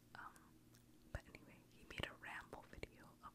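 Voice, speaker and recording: A woman whispering at a moderate pace. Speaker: ASMR creator; student pursuing medicine. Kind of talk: whisper ramble, casual talk to camera. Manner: whispered, soft. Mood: friendly, smiling. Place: home room. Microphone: studio mic.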